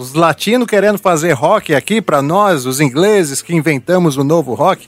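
A man with an interior São Paulo accent speaks with lively intonation in a dry, close sound with no echo. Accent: caipira accent with retroflex R. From interior of São Paulo state, São José do Rio Preto region. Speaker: musician and podcast host. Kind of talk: casual chat.

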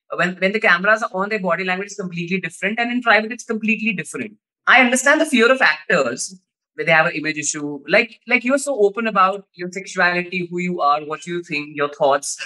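Bright and sharp in tone, a man speaks at a very fast pace in a raised, projected voice with high pitch and lively intonation. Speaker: radio host. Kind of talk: interview.

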